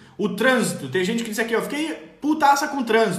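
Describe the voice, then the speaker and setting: With audible room echo and noticeable background noise, a man speaks at a fairly quick pace in an animated tone and a high pitch. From southern Brazil, Rio Grande do Sul. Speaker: parenting coach. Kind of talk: live stream talk reading viewer comments. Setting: online live stream.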